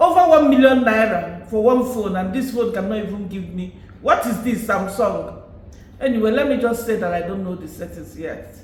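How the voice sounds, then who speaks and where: Lively intonation at a moderate pace, with big swings in loudness, audible room echo and noticeable background noise. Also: man, high pitch for a man. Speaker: YouTuber. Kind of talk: casual vlog commentary.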